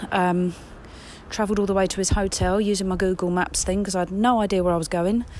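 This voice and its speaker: Speaking very fast in an English accent, a woman keeps a medium pitch, very even loudness, and flat, monotone intonation. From England.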